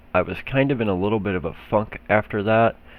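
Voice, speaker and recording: A man speaks with an Oklahoma accent at a moderate pace. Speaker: gaming YouTuber. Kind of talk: gameplay tutorial. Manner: casual, with fillers.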